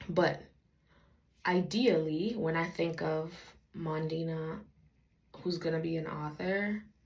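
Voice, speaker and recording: Very slow, somewhat breathy speech with long, frequent pauses, fairly even intonation, and audible room echo. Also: woman, fairly low pitch for a woman. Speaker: faith vlogger, aspiring author. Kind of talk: casual vlog monologue. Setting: at home, talking to camera. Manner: deliberately slow.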